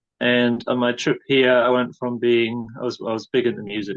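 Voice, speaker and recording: A man with a northern English accent, medium pitch and a moderate pace. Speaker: bush school founder. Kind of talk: interview.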